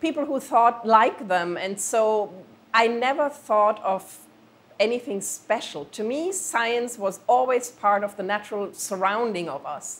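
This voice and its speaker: At a fairly slow pace, a woman with a German accent speaks in a fairly high pitch with lively intonation. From Germany. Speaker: planetary scientist. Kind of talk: interview.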